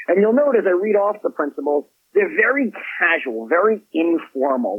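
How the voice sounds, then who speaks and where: A man speaks with very wide swings in pitch. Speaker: author and business executive. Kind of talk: interview. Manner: energetic.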